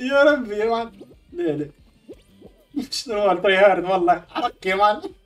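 Music sits in the background while a man speaks with a high pitch and lively intonation. He leaves long, frequent pauses. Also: moderate pace. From Tunisia. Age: 30s. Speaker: game streamer. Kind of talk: live gaming stream reactions. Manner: excited, exclamatory.

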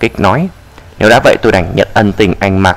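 Lively intonation from a man at a moderate pace, noticeable noise behind him. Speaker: audiobook narrator. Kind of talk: reading aloud.

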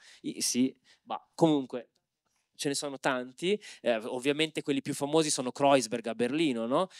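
A man with a fairly high pitch talks at a moderate pace with ordinary pitch variation and long, frequent pauses, in a dry sound with no echo over a quiet background. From Milan periphery (Opera), family from Civitavecchia; Milan. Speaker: anthropologist and moderator; moderator. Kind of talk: panel discussion. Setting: stage with audience. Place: hall. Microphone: handheld.

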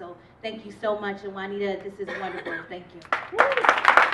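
There is loud background noise behind this woman. She talks at a moderate pace. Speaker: guest. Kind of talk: thank-you speech. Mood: grateful, warm. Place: hall. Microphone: handheld.

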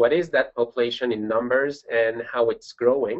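His pitch shows ordinary variation. This man speaks in a French accent. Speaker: pediatric and adult congenital cardiologist. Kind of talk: webinar presentation. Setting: online webinar.

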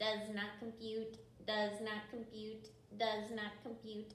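A woman uses a put-on character voice at a fairly high pitch. She goes fairly slowly, with a slight echo. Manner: neutral, flat, monotone.

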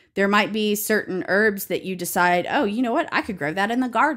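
On a very clean recording with a silent background, a woman speaks at a fairly quick pace. Her medium pitch carries a fairly bright tone and ordinary pitch variation.

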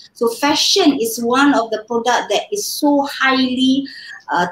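A woman speaks at a moderate pace in a high voice with lively intonation. Room echo is audible. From Malaysia. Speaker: fashion design scholar and trainer; interview guest, fashion educator. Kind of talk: interview. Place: home room.

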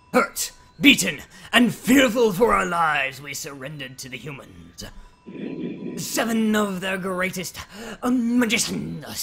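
The voice is middle-pitched and fairly slow, broken by long, frequent pauses. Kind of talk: grave legend telling. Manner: mournful.

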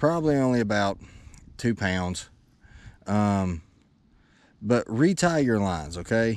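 Light background noise sits under a man's fairly low voice with a Tennessee accent. The sound is dry with no echo, and his intonation is lively. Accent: US Southern (Tennessee). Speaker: fishing YouTuber. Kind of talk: casual vlog talk to camera while fishing. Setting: outdoors on a lake, fishing boat. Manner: animated. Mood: excited, cheerful. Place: boat. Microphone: phone near.

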